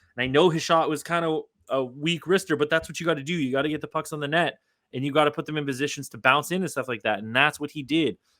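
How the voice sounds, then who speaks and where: Shouting loudly at a very fast pace, a man with a fairly high pitch and a bright, sharp, animated tone is heard on a very clean recording with a silent background. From Canada. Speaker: sports podcast host. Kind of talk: casual sports podcast chat. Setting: home recording in bedroom. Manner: loud, yelling; fast, animated.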